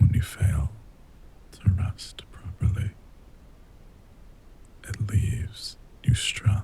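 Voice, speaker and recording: A soft-spoken man with a gentle tone and fairly low pitch talks at a very slow pace, his intonation fairly even. Noticeable background noise runs under his voice. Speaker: voice actor. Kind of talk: ASMR sleep aid talk to listener. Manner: gentle, soft-spoken.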